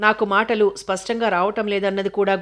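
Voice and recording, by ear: Natural-voiced reading aloud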